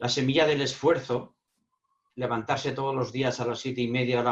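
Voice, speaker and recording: Fairly quick, flat, monotone speech from a man at a medium pitch. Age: 60s. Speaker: speaker on emotional intelligence. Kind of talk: panel Q&A answer. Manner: halting, repeats words.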